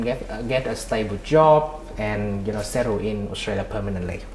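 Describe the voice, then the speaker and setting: A man moves at a fairly quick pace as audible room echo and noticeable background noise come through the recording. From Vietnam. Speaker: migration consultant and entrepreneur. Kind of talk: interview. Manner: halting, many repetitions and fillers.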